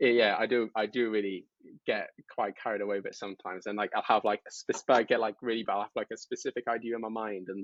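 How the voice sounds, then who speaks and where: A very fast-talking man with a British accent. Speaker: mental health content creator, Navy veteran. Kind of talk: podcast interview.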